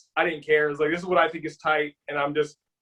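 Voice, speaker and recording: A man with an American accent speaks loudly. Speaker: kickboxer. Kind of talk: interview. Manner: animated.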